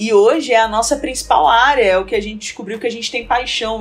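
A woman with a Rio de Janeiro accent speaks at a fairly quick pace in a fairly high voice with ordinary pitch variation, over noticeable background noise. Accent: carioca accent, noticeable. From Rio de Janeiro, Brazil. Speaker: presentation design entrepreneur. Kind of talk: casual interview chat.

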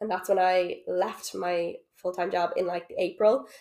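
A woman talks with a Dublin accent at medium pitch. Her intonation stays fairly even. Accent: Dublin Irish. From Ireland, Dublin. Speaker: social worker and coach. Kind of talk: casual chat. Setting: at home on a sofa.

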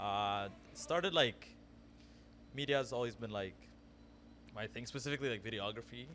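A man's medium-pitched voice, bright and sharp with vocal fry, ordinary pitch variation, a moderate pace and long, frequent pauses. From Ethiopia. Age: 20s. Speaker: freelance videographer. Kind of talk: casual interview.

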